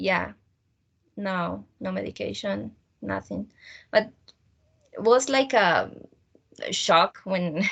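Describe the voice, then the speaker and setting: A woman talks at a very slow pace, leaving long, frequent pauses. Her loudness swings widely. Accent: Spanish. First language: Spanish. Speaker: student teacher. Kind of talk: casual chat. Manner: halting.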